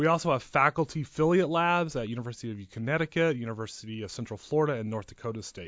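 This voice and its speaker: A man with an American accent and a plain, everyday voice talks at a fairly quick pace with lively intonation. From West Texas (Crane and Midland). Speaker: communication professor. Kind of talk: interview. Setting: studio.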